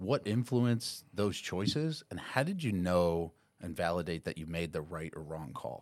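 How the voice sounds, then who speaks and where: In a New York accent, a man talks at a moderate pace. His very deep, low voice carries lively intonation. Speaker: corporate training director. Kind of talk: casual chat. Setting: studio.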